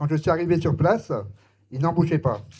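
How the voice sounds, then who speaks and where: A man's somewhat breathy voice, dark and mellow in tone, moves at a fairly quick pace. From Lorraine, France. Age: 60s. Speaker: former homeless man, street outreach volunteer. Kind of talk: testimony. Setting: public hearing in a full hall.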